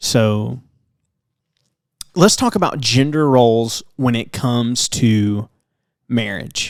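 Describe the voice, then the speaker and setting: A man with a Southern US accent at a very slow pace, with long, frequent pauses and ordinary pitch variation. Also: medium pitch for a man. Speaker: podcast co-host with his wife. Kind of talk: casual chat. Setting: home recording late at night.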